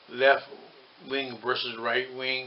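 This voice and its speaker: A man talks at a medium pitch while noticeable background noise runs underneath. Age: 60s. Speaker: political commentator. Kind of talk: monologue commentary. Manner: halting.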